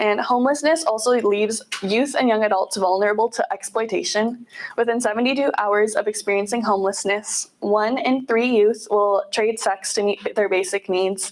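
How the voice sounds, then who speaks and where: The voice has ordinary pitch variation and very even loudness. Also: woman, fairly high pitch for a woman. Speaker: nonprofit volunteer and outreach manager. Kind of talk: guest presentation. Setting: meeting room with audience. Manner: fast; quiet at first.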